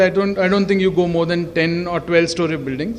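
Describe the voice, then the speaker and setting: Loud, fairly quick speech amid noticeable background noise. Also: man. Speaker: facade consultant presenter. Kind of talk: presentation at an event.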